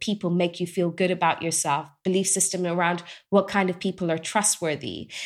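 Recorded very cleanly against a silent background, a woman with an English accent speaks at a fairly low pitch with fairly even intonation. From England. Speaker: doctor and Bible teacher. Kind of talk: interview.

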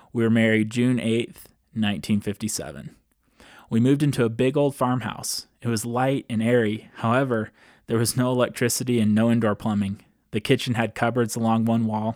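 A man speaks in a plain, everyday voice at medium pitch and a moderate pace. His intonation is fairly even, and the recording is very clean with a silent background. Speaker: podcast host. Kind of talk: podcast monologue, partly reading grandma's memoir aloud. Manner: conversational, friendly.

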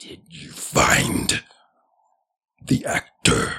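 A man puts on a raspy character voice. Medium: actual play. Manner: menacing, grandiose.

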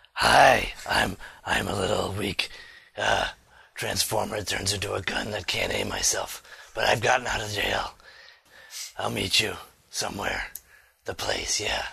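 Using a put-on character voice, a man speaks at a moderate pace with a raspy, fairly low pitch. Long pauses come often.

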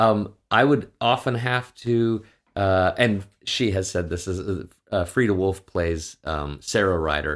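A man's very deep, low voice in a Canadian accent, at a fairly slow pace, on a very clean recording with a silent background. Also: ordinary pitch variation. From western Canada (Saskatchewan). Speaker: actor and voice director. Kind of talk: casual interview chat.

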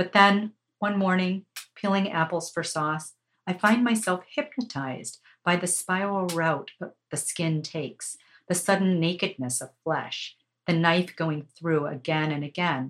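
A woman speaks in an ordinary speaking voice at a fairly slow pace. Her pitch is fairly low, with ordinary pitch variation. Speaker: podcast host and media coach. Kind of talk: poetry reading aloud.

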